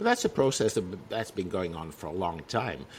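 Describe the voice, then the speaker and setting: A man is speaking. He has a Dutch accent. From Netherlands, province of Utrecht. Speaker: magazine publisher. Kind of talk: casual chat.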